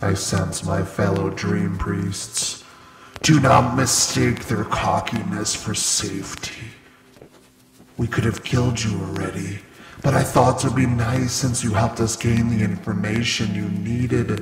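A man at a medium pitch, moderate pace and ordinary pitch variation, with a slight echo. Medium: audio drama. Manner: cold, menacing, contemptuous.

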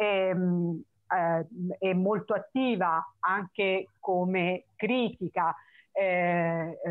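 A woman at a medium pitch talks at a very slow pace, her loudness very even and her intonation fairly even, over a quiet background. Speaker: poetry reading host. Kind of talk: event introduction and poet presentation. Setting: online video call. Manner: hesitant, many filler sounds. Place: home room. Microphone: video call.

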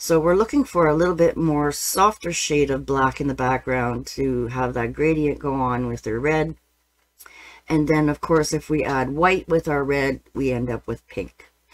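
A woman's very deep, low voice at a moderate pace, with ordinary pitch variation. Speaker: painting teacher. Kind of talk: tutorial. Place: studio. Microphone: webcam.

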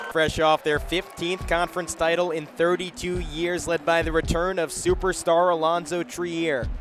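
A man's high voice at a moderate pace with hardly any pauses, music in the background. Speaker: sports commentator. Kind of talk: basketball play-by-play commentary. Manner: excitable.

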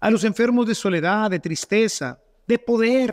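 A man with a Mexican accent speaks at a very slow pace. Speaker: priest. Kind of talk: sermon. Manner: animated; rhetorical.

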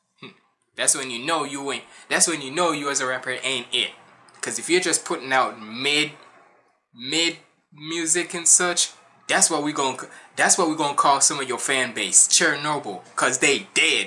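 At a moderate pace and with ordinary pitch variation, the speaker leaves long, frequent pauses over music in the background. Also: man. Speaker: reaction video creator. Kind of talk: casual reaction commentary. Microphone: earbuds.

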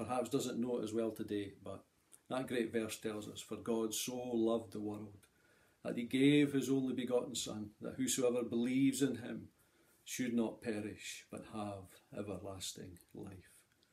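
His tone is dark and mellow, his intonation fairly even. The man keeps a moderate pace. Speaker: lay preacher. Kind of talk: sermon. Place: home room. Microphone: phone near.

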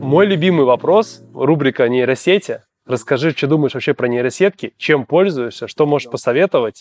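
Faint music sits in the background as a man speaks with very even loudness and ordinary pitch variation. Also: moderate pace. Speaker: podcast host. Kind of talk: interview. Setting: studio. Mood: friendly, smiling. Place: studio.

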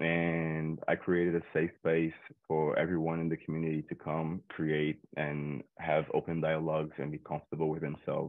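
A man with a Portuguese accent speaks at a moderate pace in a very deep, low pitch and flat monotone, hardly pausing, on a dry recording with no echo and a quiet background. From Brazil, Rio de Janeiro outskirts; Rio de Janeiro, Brazil. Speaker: photographer; guest. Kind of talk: tutorial. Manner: halting, many fillers. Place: home room. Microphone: webcam.

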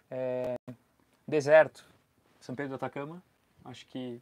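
A man with medium pitch speaks at a moderate pace in monotone, flat intonation. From Brazil. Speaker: travel vlogger. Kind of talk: live stream chat. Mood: relaxed, friendly. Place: home room. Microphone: lapel.

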